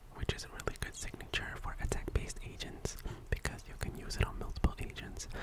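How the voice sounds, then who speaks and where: Whispering at a moderate pace amid noticeable background noise. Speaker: ASMR content creator and gacha gamer. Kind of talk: ASMR gaming account tour, whispered commentary. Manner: whispered, soft-spoken.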